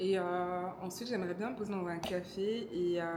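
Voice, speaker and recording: Audible room echo surrounds a woman speaking at medium pitch and a moderate pace in a flat monotone. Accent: slight Congolese. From DR Congo. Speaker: vlogger. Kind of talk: casual vlog talk to camera. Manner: hesitant, many fillers.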